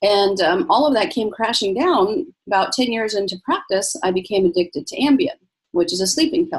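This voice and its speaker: Her pitch fairly high and swinging very widely, a somewhat breathy woman speaks at a moderate pace. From US, born in Egypt. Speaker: physician. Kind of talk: interview.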